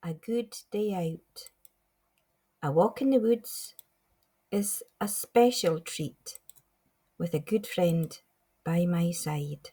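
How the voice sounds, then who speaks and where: With a Scottish Highlands accent, a woman speaks at a very slow pace with long, frequent pauses and lively intonation. Her medium-pitched voice is somewhat breathy, with a dark, mellow tone. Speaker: poet. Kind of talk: poetry reading. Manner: light-hearted, upbeat.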